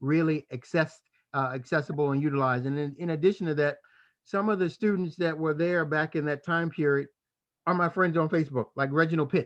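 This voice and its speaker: Moving at a fairly quick pace, a man with an unremarkable speaking voice talks in a fairly high pitch with fairly even intonation. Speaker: podcast host. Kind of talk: casual chat.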